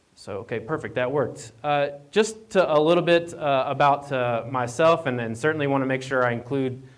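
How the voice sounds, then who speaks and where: A man talks at a moderate pace with a slight Appalachian accent. Audible room echo surrounds his voice. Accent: Appalachian twang, slight. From Appalachian Virginia. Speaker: county association staffer, speaker. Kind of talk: conference presentation. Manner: halting, many fillers and repeats.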